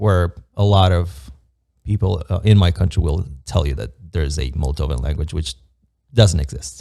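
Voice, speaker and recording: A man with a very deep, low voice and a dark, mellow tone speaks at a moderate pace, with ordinary pitch variation and some vocal fry. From Moldova. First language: Romanian. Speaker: construction project manager. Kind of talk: casual podcast interview. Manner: hesitant, many fillers.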